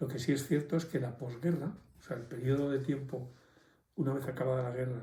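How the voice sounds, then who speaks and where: A man with a medium pitch talks at a moderate pace in a dark, mellow tone, somewhat breathy. Audible room echo surrounds his voice. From Santander, northern Spain. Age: 70s. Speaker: elderly interviewee. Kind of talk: testimony.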